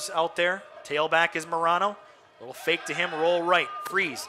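A man's high, raised and projected voice over noticeable background noise. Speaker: radio play-by-play announcer. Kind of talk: live sports commentary, play-by-play. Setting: radio broadcast. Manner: rapid-fire, excitable on touchdowns; clipped, fluent play-by-play delivery.

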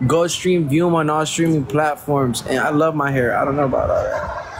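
A man speaks at a fairly high pitch with fairly even intonation. There is noticeable background noise. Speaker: live streamer. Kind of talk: live stream appeal to viewers. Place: street. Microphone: phone near.

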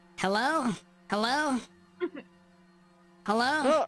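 The speaker puts on a character voice with a fairly high pitch. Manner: calling out from an unseen spot.

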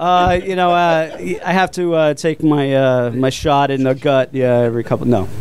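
A man's fairly high voice with an American accent, at a moderate pace, with very even loudness and ordinary pitch variation. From Florida, Port Orange. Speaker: brewery owner. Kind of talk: casual chat. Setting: studio. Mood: jovial, joking. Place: studio. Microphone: studio mic.

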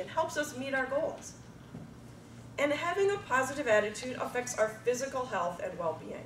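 A woman's voice swings very widely in pitch. Noticeable background noise sits behind her. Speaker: speech contestant, supervisor. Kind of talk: contest speech. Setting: stage with audience.

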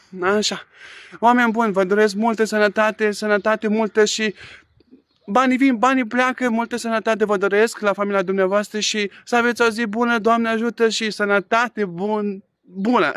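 A man with a high voice speaks at a moderate pace, his dry sound carrying no echo over a quiet background. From Romania. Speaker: vlogger. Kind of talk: angry rant, indignant vlog complaint. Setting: outdoors. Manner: indignant, agitated, emphatic. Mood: earnest, a bit aggrieved. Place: garden. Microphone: phone near.

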